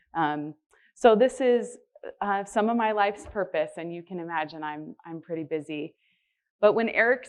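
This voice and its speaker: A woman talks loudly at a moderate pace. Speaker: healthcare spiritual care director. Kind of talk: conference presentation. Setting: conference stage with audience.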